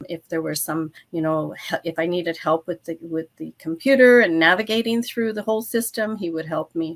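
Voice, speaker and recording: Speaking at a moderate pace with hardly any pauses, a woman with a fairly low pitch uses ordinary pitch variation in a dry, close sound with no echo. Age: 60s. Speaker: author and retired nurse. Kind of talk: interview testimony. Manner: halting.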